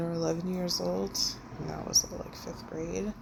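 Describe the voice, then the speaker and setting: Noticeable noise runs in the background. Over it, a woman talks. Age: 30s. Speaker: vlogger sharing personal journey. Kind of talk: personal vlog monologue. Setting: recording alone to camera. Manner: casual, halting.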